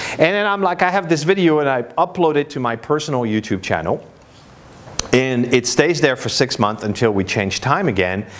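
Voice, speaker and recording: The speaker has a French accent and very wide pitch swings, with noticeable background noise behind the voice. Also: man, medium pitch for a man, moderate pace. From France, Paris. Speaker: marketing speaker. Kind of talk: conference presentation. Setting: stage with audience. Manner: conversational, many fillers.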